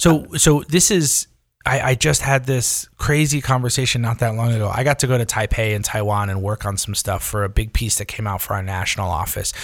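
Speaking at a fairly quick pace with hardly any pauses, a man with an American accent has a plain, everyday voice. His pitch is medium with ordinary variation, in a very clean recording with a silent background. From far northern New York, Adirondacks. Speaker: food journalist and editor. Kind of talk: casual interview chat.

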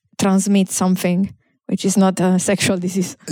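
A woman with an Italian accent speaks in a dark, mellow tone, in a very clean recording with a silent background. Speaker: comedian. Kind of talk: casual podcast chat.

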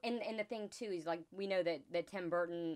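An unremarkable speaking voice proceeds at a moderate pace in a very clean recording with a silent background. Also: woman. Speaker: podcast guest.

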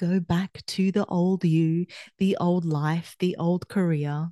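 A woman with an Australian accent has a dark, mellow tone in a dry, close sound with no echo. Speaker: podcast host and performance coach. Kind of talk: solo monologue. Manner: conversational, with fillers and restarts.

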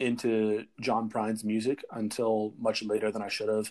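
This man has an unremarkable speaking voice at medium pitch. He talks at a fairly slow pace. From Georgia, US South. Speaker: college student. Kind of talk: casual chat. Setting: remote call from home.

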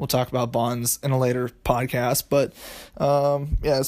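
This man has a normal speaking voice at a medium pitch. He talks at a moderate pace in a very clean recording with a silent background. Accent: American. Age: 20s. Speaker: finance podcaster. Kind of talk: solo explainer monologue. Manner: casual, filler-heavy.

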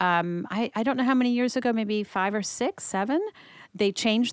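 A woman's normal speaking voice with a General American accent, medium pitch and ordinary pitch variation at a moderate pace, in a dry, close sound with no echo on a very clean recording with a silent background. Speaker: marriage and family therapist. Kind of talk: interview.

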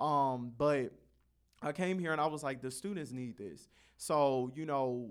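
A man with an American accent has a normal speaking voice, fairly high in pitch, at a moderate pace with ordinary pitch variation. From Carson, California. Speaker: college student, podcast founder. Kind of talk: casual chat.

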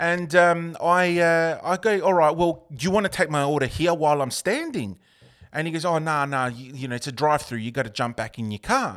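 A man with an Australian accent speaks at a fairly high pitch and fairly quick pace, his intonation lively. The recording is very clean, with a silent background. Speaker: podcast host. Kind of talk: casual chat. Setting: studio.

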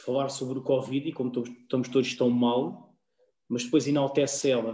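Medium-pitched male voice, dark and mellow in tone, with fairly even intonation. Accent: European Portuguese. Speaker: podcast co-host. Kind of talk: casual chat.

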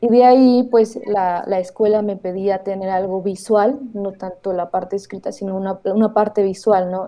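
A woman speaks in a normal speaking voice at a medium pitch and moderate pace. Her intonation stays fairly even, with hardly any pauses. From Oaxaca, Mexico. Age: 20s. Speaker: documentary filmmaker. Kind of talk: interview.

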